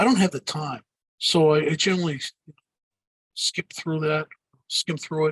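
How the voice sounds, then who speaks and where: In a strong Boston accent, a man talks at a fairly quick pace with fairly high pitch and a bright, sharp tone. His intonation is fairly even, and the sound is dry and close with no echo. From Boston area, US. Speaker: digital marketing speaker and author. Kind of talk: podcast interview. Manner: hesitant, many fillers and repeats.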